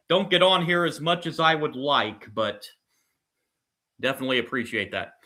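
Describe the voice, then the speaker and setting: Loud and bright with a sharp tone, a man speaks at a fairly high pitch and moderate pace with lively intonation on a very clean recording with a silent background. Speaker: sports livestreamer doing play-by-play. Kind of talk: live commentary. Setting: livestream from computer with live chat. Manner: loud, voice carries.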